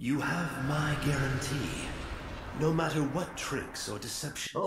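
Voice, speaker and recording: At a fairly slow pace, a man puts on a cartoonish character voice at a fairly high pitch, with clear echo and clear background noise. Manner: measured, formal.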